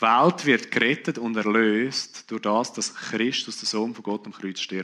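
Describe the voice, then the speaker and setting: Talking at a fairly slow pace, a man has a bright, sharp tone. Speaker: preacher. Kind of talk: sermon.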